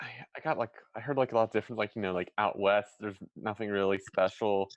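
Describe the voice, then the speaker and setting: At a moderate pace, a man with an American accent speaks in a dry, close sound with no echo. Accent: between General American and Philadelphia. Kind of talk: casual chat. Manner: hesitant, filler-heavy.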